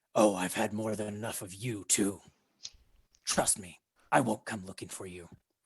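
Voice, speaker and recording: Loud and booming, a man puts on a raspy character voice at a fairly low pitch, keeping a moderate pace with long, frequent pauses. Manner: dismissive, threatening.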